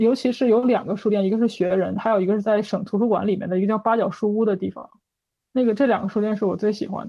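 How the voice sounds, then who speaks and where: A woman talks at a very fast pace with fairly even intonation. Her pitch is fairly high. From Northeast China, Changchun. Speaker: bird illustrator. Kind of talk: casual chat.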